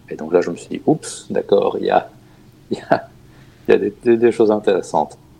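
Long, frequent pauses and big swings in loudness from a man talking at a moderate pace. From Germany. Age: 40s. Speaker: opera singer and board game designer. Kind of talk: casual interview. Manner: halting.

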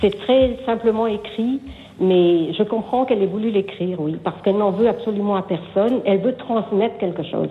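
With a plain, everyday voice, the speaker keeps a moderate pace and ordinary pitch variation. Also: woman, medium pitch for a woman. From Brittany, France. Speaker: caller. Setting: phone call.

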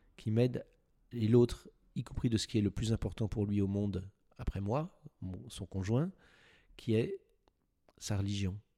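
A man speaks with a dark, mellow tone at a fairly low pitch, showing ordinary pitch variation. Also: dry, close sound with no echo. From France, Paris. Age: 60s. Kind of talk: interview. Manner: halting, repeats words.

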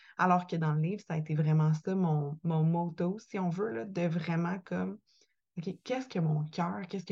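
In a Quebec accent, a woman speaks at a fairly low pitch in a dark, mellow tone that is somewhat breathy. Her pace is moderate, her pitch variation ordinary, and the background quiet. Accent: Québécois French. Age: 20s. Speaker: podcaster and author. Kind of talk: interview testimony.

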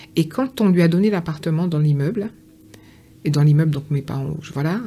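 A woman's very deep, low voice, somewhat breathy, with a dark, mellow tone. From Guadeloupe, Pointe-à-Pitre. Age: 50s. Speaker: author. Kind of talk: interview.

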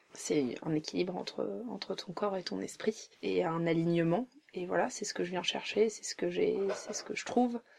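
A woman keeps a moderate pace, with noticeable background noise around her. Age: 30s. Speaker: journalist. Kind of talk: casual chat. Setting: at host's home, sitting on a bed.

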